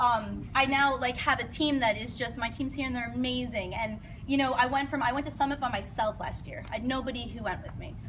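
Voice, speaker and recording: At a fairly quick pace with hardly any pauses, a woman speaks at a high pitch with fairly even intonation, over noticeable background noise and audible room echo. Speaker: fitness coach. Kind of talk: presentation to an audience. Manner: fast.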